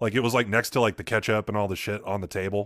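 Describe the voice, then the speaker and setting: A man's bright, sharp tone comes through in a very clean recording with a silent background. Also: dry, close sound with no echo. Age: 20s. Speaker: podcast co-host. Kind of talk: casual chat.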